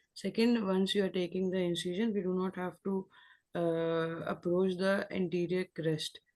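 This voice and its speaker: A woman speaks quietly at a moderate pace, her fairly low-pitched voice fairly even in intonation. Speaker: surgical resident presenting a case. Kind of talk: case discussion exam. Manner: quiet, too low; halting, many fillers.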